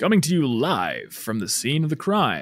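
Using a put-on character voice, a man speaks at a fairly high pitch with very wide pitch swings. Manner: enunciated, presenter-like.

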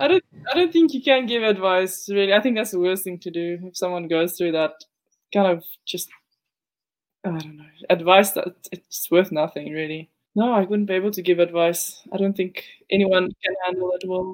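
Speaking with a South African accent, a woman keeps a moderate pace at a medium pitch, with ordinary pitch variation. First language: Afrikaans. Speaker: professional surfer. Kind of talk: interview. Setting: remote call from home.

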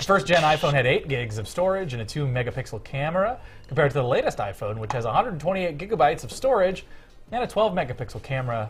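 A very fast, somewhat breathy male voice, fairly high in pitch, with very wide pitch swings. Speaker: TV news show host. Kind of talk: casual banter on a live TV news show. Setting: TV studio.

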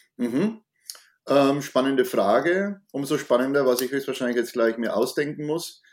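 A man with a normal speaking voice talks at a fairly high pitch and moderate pace, with ordinary pitch variation. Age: 50s. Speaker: climate activist and designer. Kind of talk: casual interview. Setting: video call.

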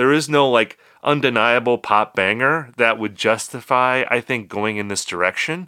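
A man's normal speaking voice at a medium pitch and moderate pace, with ordinary pitch variation, hardly any pauses, and a dry, close sound with no echo. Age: 40s. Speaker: music podcast host. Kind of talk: casual chat.

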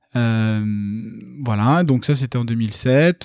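On a very clean recording with a silent background and a dry, close sound with no echo, a man with a dark, mellow tone speaks at a very slow pace with fairly even intonation. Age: 30s. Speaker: real estate developer. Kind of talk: interview.

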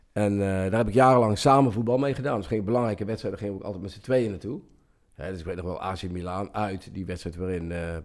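Talking at a very fast pace, a man with a fairly low pitch and ordinary pitch variation swings widely in loudness on a very clean recording with a silent background. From Midden-Limburg, Netherlands. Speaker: football journalist. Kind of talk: casual chat.

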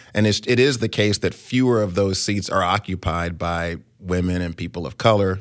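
Recorded very cleanly against a silent background, the clip features an unremarkable speaking voice. It goes at a fairly quick pace, and the pitch varies in an ordinary way. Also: man. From Oakland, California, US. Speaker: venture capital investor. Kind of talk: interview.

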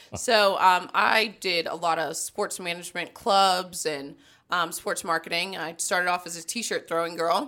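A woman with an American accent speaks at a fairly slow pace in a fairly low pitch and a bright, sharp tone. Her intonation is fairly even, and the recording is very clean with a silent background. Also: big swings in loudness. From US South, Columbia, South Carolina. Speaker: college football recruiting director. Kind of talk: podcast interview.

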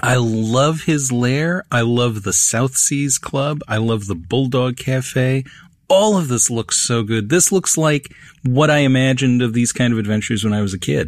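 A man with an ordinary speaking voice, medium pitch, moderate pace and lively intonation. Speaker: theater person. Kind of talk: casual chat.

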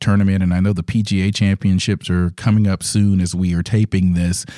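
With an American accent, a man speaks at a fairly quick pace in a very deep, low pitch. His tone is dark and mellow, his intonation fairly even. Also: dry, close sound with no echo, very clean recording, silent background. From Georgia, US South. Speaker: podcast host, professor. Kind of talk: interview. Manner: halting, stammering.

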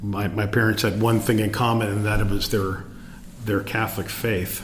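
Over noticeable background noise and audible room echo, a man speaks in a fairly low pitch with monotone, flat intonation. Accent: American. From Los Angeles, US. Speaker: venture capitalist. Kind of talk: interview.

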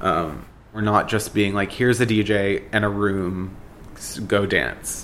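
Noticeable background noise accompanies a man with an American accent. He speaks at a moderate pace with ordinary pitch variation. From South Florida (Boca Raton). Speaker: queer nightlife party organizer. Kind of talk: documentary interview.

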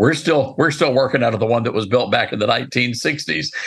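A man talks in a Memphis accent at a fairly quick pace. His pitch is medium with ordinary variation. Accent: Southern US (Memphis). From US South, Memphis, Tennessee. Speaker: radio and TV host. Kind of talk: casual interview chat. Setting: studio.

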